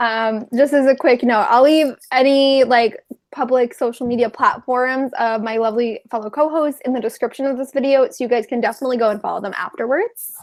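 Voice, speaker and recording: A woman with an American accent, high-pitched, at a fairly quick pace, with fairly even intonation. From New York. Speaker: booktuber, live show host. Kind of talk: casual live-stream book chat.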